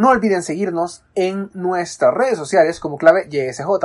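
A woman's fairly low pitch with ordinary pitch variation in a normal speaking voice. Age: 20s. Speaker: youth radio host, university student. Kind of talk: casual radio show hosting.

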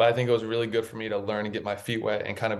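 A man with an American accent talks at a very fast pace in a fairly low voice. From North Carolina, Raleigh. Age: 20s. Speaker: podcast host, former college basketball player. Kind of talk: interview, casual chat. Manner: animated, enthusiastic.

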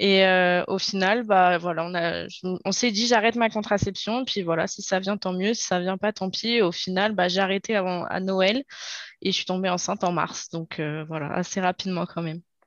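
With fairly even intonation, a woman talks at a medium pitch and a moderate pace. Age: 20s. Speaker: young mother. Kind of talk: interview testimony. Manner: hesitant, many fillers.

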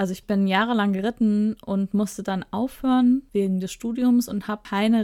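Woman in an ordinary speaking voice, medium pitch, fairly even intonation and moderate pace, dry, close sound with no echo on a very clean recording with a silent background. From Ruhr area, Germany. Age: 30s. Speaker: podcast co-host, publishing PR worker. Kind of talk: casual chat.

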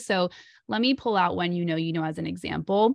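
An ordinary speaking voice with ordinary pitch variation, a dry, close sound with no echo, and a quiet background. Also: woman. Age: 30s. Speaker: relationship anxiety coach. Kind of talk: interview.

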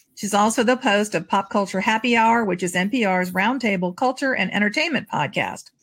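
A woman speaks at a moderate pace with ordinary pitch variation and a somewhat breathy sound. The recording is very clean, with a silent background. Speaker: podcast host and novelist. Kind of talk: casual chat.

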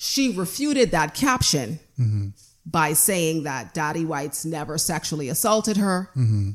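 Loud and at a moderate pace, a woman talks with a very deep, low pitch that swings very widely. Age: 30s. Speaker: abuse survivor advocate. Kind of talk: casual chat.

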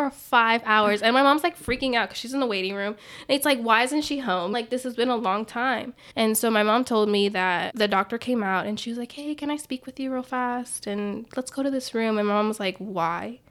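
At a fairly quick pace with hardly any pauses, a woman speaks in a normal speaking voice, fairly high in pitch with ordinary pitch variation, on a very clean recording with a silent background. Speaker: podcast co-host. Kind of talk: casual chat, telling personal story.

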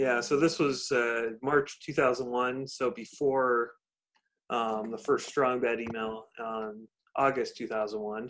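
Speaking at a very slow pace, a man with a Californian accent holds a medium pitch and fairly even intonation. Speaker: podcast host. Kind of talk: casual chat. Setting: video call.

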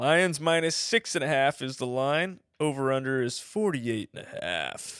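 Using a normal speaking voice, a man talks at a fairly high pitch and a moderate pace with lively intonation and hardly any pauses. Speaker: podcast host. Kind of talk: casual chat.

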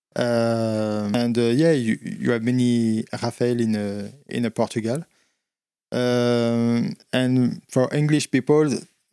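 In a French accent, a dark, mellow voice speaks very slowly with fairly even intonation, in a dry, close recording with no echo and a silent background. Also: man. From central France. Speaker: bar owner. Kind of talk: casual interview. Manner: halting.

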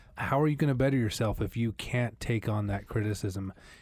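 With an American accent, a man speaks in an ordinary speaking voice with fairly even intonation on a very clean recording with a silent background. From US Northwest (Idaho, Montana). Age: 30s. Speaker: podcast co-host. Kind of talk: casual chat.

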